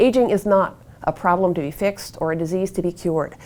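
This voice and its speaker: A woman with an American accent uses a plain, everyday voice at a medium pitch, talking at a fairly quick pace with ordinary pitch variation. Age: 60s. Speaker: author and activist on aging. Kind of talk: interview monologue.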